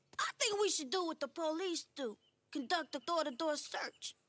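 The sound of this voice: A cartoonish character voice sits at an extremely high pitch. The pace is moderate.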